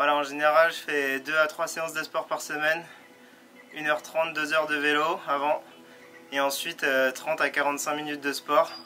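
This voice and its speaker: Over noticeable background noise, a man with a fairly high pitch speaks at a moderate pace in monotone, flat intonation, with long, frequent pauses. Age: 20s. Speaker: pro mountain biker. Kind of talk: vlog narration. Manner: casual, hesitant with fillers.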